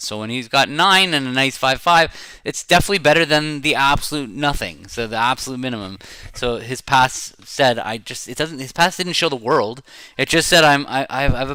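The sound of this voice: A man with a Canadian accent, fairly high pitch, bright, sharp tone, lively intonation and moderate pace. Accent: mild Canadian.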